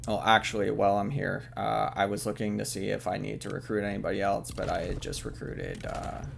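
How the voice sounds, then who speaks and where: There is audible room echo and noticeable background noise as a man speaks at a fairly quick pace with hardly any pauses. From Canada. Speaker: gaming video creator. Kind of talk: let's play commentary narration. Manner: hesitant, many fillers.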